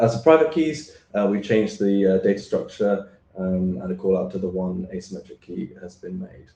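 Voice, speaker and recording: Speaking at a moderate pace with hardly any pauses, a man uses a fairly low, dark, mellow voice with lively intonation and big swings in loudness. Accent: British. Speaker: standards draft author presenter. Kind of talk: technical presentation. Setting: remote video call into meeting. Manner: hesitant, many fillers.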